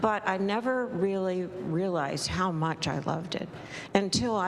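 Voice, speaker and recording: Someone with an American accent speaks fairly slowly, with ordinary pitch variation. Noticeable background noise and audible room echo are present. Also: woman. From Wilmington, Delaware (US Mid-Atlantic). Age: 80s+. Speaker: congregation member sharing a reflection. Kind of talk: personal sharing at a church service.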